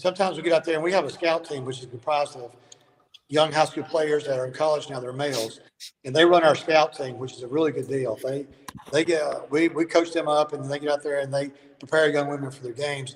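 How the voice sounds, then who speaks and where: A man with a Southern US accent talks at a very fast pace in a fairly high pitch, his intonation fairly even but his loudness swinging widely. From Alabama. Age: 60s. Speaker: basketball coach. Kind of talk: casual interview.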